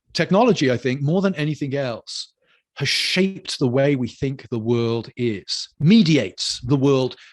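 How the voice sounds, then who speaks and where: With a British accent, a man speaks fairly slowly in a fairly high pitch, making very wide pitch swings. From United Kingdom. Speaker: lecturer on culture and theology. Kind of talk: lecture.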